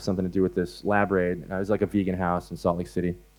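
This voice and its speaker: This man has an American accent. He talks at a very fast pace. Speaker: animal rights activist speaker. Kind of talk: conference talk. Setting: stage with audience. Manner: hesitant, many fillers.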